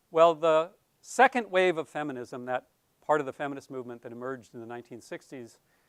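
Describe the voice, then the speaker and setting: Here is a man with a normal speaking voice, fairly high in pitch, using ordinary pitch variation. The recording is very clean with a silent background and a dry, close sound with no echo. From US, North Dakota. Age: 60s. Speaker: professor. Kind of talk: lecture.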